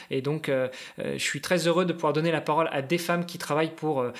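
A man speaks in an ordinary speaking voice, fairly high in pitch, with fairly even intonation. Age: 40s. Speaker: amateur endurance athlete. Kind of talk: casual chat.

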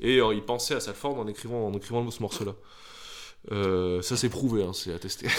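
A man talks in a plain, everyday voice, fairly low in pitch with fairly even intonation. His pace is fairly slow, with hardly any pauses. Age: 20s. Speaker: podcast co-host. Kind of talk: casual chat.

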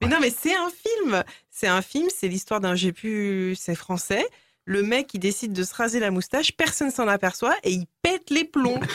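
Heard dry and close with no echo, a woman with a fairly high pitch speaks at a fairly slow pace, making very wide pitch swings at a very even loudness. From rural France near Paris. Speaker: radio show contributor. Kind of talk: casual chat.

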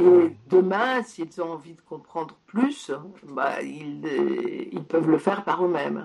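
Her volume rising and falling in big swings, a woman talks very slowly. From Poland, moved to France at 6. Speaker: science journalist and author. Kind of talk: interview. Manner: halting.

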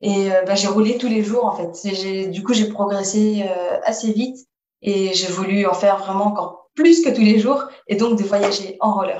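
An unremarkable speaking voice goes at a fairly slow pace with ordinary pitch variation. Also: woman, medium pitch for a woman. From Paris region, France. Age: 20s. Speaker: roller skating traveller. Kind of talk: interview.

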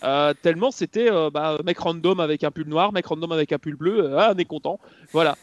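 At a moderate pace, a man with an ordinary speaking voice talks in a fairly high pitch with ordinary pitch variation, the sound dry and close with no echo over a quiet background. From Belgium. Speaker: motorsport commentator. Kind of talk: casual chat.

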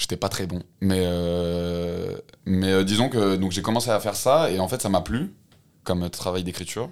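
A man's very deep, low voice at a fairly slow pace, in a very clean recording with a silent background. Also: ordinary pitch variation. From France, Haute-Loire and Lyon. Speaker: rapper and slam poet. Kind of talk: casual interview. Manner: halting.

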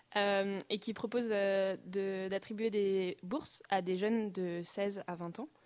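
A woman speaks in an ordinary speaking voice at a medium pitch, keeping her intonation fairly even. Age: 20s. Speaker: design student and traveler. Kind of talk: interview. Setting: studio.

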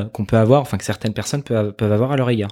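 Here a man talks at a very fast pace. The recording is very clean, with a silent background. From France, Paris region (Yvelines). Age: 20s. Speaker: media founder and communications director. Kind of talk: interview. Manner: hesitant, many fillers and repetitions.

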